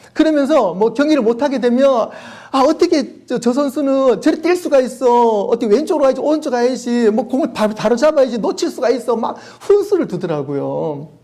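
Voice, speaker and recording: Male voice in a Daegu accent, extremely high pitch, lively intonation, fairly quick pace. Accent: Gyeongsang (Daegu) dialect, noticeable. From South Korea, Daegu. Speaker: pastor. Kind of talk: sermon. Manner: animated.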